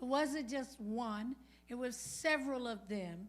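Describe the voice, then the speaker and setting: A woman with an American accent speaks at a high pitch while music plays in the background. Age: old. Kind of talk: oral history interview answer.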